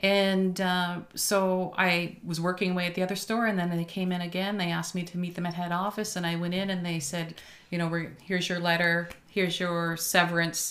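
A woman's fairly low voice, fairly quick with hardly any pauses, monotone and flat in intonation, with audible room echo. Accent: Maritime Canadian. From New Brunswick, Canada (Moncton). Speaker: restaurant owner. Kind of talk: casual interview. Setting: studio.

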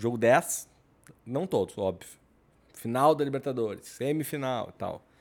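A man's medium-pitched voice at a very slow pace, on a very clean recording with a silent background. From Rio Grande do Sul, southern Brazil. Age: 40s. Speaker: podcast co-host. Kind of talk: casual chat. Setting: studio.

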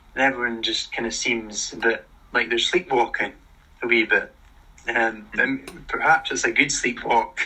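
With a Scottish accent, a man talks at a moderate pace. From Scotland. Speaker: podcast host. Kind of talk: casual interview chat. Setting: live stream.

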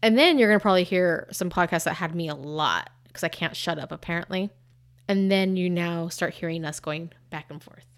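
In a very clean recording with a silent background, a woman with a plain, everyday voice talks at a fairly quick pace, her fairly low pitch held to fairly even intonation while her volume rises and falls sharply. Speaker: podcast co-host. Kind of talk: casual chat.

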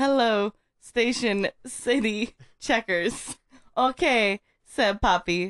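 There is ordinary pitch variation in the natural reading voice, and the background stays quiet.

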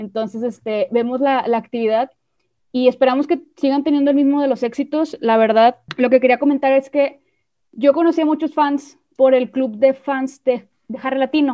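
High-pitched and fairly even in intonation, a woman speaks at a moderate pace. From Mexico. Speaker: podcast host. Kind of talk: casual chat.

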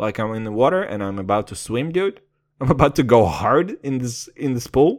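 Animated in tone, a man speaks at a medium pitch with very wide pitch swings. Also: moderate pace. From Kazakhstan. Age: 20s. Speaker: podcast host. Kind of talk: casual monologue.

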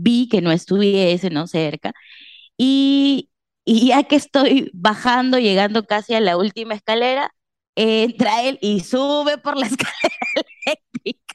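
In an ordinary speaking voice, a woman speaks fairly high with lively intonation at a fairly slow pace, the sound dry and close with no echo. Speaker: podcast co-host. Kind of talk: casual chat.

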